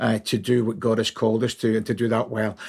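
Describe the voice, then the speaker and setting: A man with a Scottish accent at a very fast pace, on a very clean recording with a silent background. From Scotland, Glasgow. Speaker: ministry training director, former pastor. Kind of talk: casual chat.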